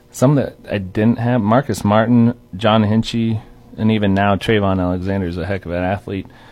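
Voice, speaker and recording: A man's fairly low-pitched voice at a moderate pace with fairly even intonation, an ordinary speaking voice. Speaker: strength and conditioning coach. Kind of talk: casual chat.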